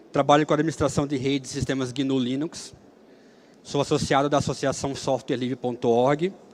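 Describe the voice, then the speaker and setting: Fairly even intonation marks a man's voice at a medium pitch. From Brazil, Alagoas (Maceió). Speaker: software engineer and free software speaker. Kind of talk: conference talk. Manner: hesitant, with fillers.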